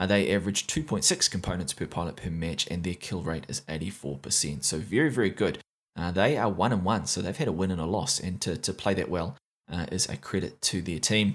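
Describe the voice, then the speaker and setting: A man's very deep, low voice with a New Zealand accent, lively intonation and a fairly quick pace, on a very clean recording with a silent background. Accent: New Zealand (Kiwi). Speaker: esports commentator and tournament recap host. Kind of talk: recap commentary, monologue. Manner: fluent, informal, with frequent filler 'uh'.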